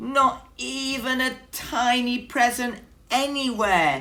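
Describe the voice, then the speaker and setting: Using a squeaky, put-on character voice, a woman speaks very slowly at a high pitch with ordinary pitch variation. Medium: read story.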